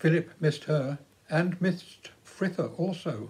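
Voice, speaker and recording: A man with a high pitch and a dark, mellow tone speaks at a fairly slow pace. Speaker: storyteller. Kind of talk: storytelling narration. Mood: warm, gentle. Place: home room. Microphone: phone near.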